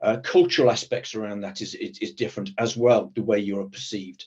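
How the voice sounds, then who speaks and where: A somewhat breathy man with a British accent at a very fast pace. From Britain. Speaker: protective security professional. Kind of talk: panel discussion. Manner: hesitant, many repetitions.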